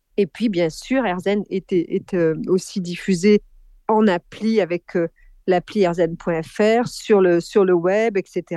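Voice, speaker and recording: A woman's dark, mellow tone at a very slow pace, dry and close with no echo, over a quiet background. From France, Corrèze. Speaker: media company co-founder. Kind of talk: interview.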